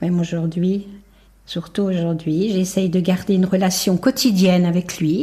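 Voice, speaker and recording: A woman's somewhat breathy, dark, mellow voice at a fairly low pitch, with ordinary pitch variation and a fairly slow pace, in a very clean recording with a silent background. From France, Haute-Savoie near Geneva. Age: 70s. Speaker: bereaved mother sharing testimony. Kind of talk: testimony.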